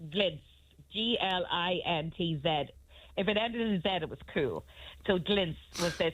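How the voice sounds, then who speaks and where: In a Northern Irish accent, a woman with a fairly low pitch speaks at a moderate pace with ordinary pitch variation and long, frequent pauses. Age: 50s. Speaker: radio guest. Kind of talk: casual chat. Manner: animated.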